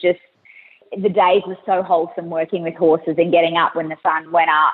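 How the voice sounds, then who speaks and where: A woman speaks at a fairly low pitch with an Australian accent. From Australia (rural bush). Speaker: travel company founder. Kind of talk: interview. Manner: animated.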